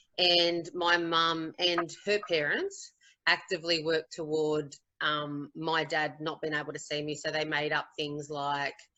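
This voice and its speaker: Fairly slow speech with an Australian accent and monotone, flat intonation. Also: woman, very deep, low pitch for a woman. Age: 40s. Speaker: teacher. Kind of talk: testimony. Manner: halting.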